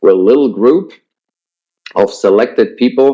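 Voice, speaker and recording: A man is speaking. He has a Swiss German accent. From Switzerland. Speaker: network marketing presenter. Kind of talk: webinar sales pitch. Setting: online webinar with headset. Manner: hesitant with many fillers.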